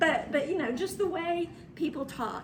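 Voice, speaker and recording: A woman speaks loudly. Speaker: travel marketing and PR consultant. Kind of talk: workshop presentation. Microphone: speaking without microphone.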